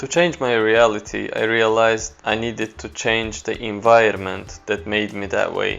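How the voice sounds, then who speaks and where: A man speaks with an Azerbaijani accent and ordinary pitch variation, with hardly any pauses. Music plays in the background. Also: medium pitch for a man, moderate pace. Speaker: photographer. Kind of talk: personal story talk to camera.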